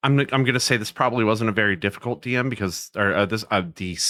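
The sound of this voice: Here is an unforced reading voice. Its pitch varies in an ordinary way.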